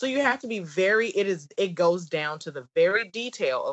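Moderate pace in a Southern US accent. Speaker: business coach and wine entertainer. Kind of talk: casual interview chat.

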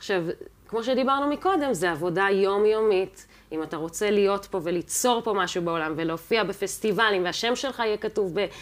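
Her medium-pitched voice moves through very wide pitch swings as the woman speaks. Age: 30s. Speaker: jazz and classical pianist. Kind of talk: casual interview chat.

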